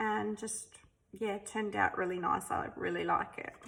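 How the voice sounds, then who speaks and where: A woman talks with an Australian accent. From South Australia. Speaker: artist. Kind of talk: sketchbook flip-through. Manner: casual, hesitant with many ums.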